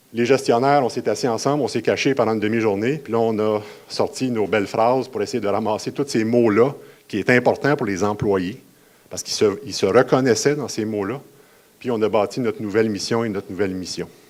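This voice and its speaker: A man with a Quebec accent at a fairly quick pace, fairly even in intonation, on a very clean recording with a silent background. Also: medium pitch for a man. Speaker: municipal geomatics manager. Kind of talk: conference presentation. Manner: fast.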